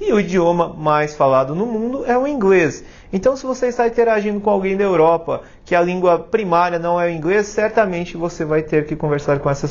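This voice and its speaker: Lively intonation marks this man's high-pitched voice. He talks at a fairly quick pace. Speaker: YouTube tech career host. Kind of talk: casual educational monologue. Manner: animated.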